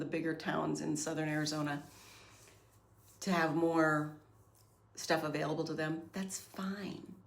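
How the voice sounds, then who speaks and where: Delivered at a fairly slow pace with fairly even intonation, the speech carries audible room echo. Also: woman. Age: 50s. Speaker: podcast host. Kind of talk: casual monologue. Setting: home recording.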